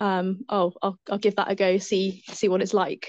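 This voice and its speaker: The recording is dry and close, with no echo. A woman speaks at a moderate pace. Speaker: zookeeper and elite mountain bike racer. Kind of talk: casual interview. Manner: hesitant, many fillers.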